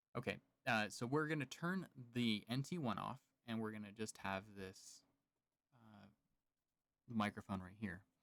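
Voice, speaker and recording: Soft-spoken, a man talks with big swings in loudness. His speech has long, frequent pauses. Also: fairly low pitch for a man, ordinary pitch variation, moderate pace. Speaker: podcaster and meditation creator. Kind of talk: live unboxing and mic test. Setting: home podcast studio, live stream. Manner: casual, hesitant.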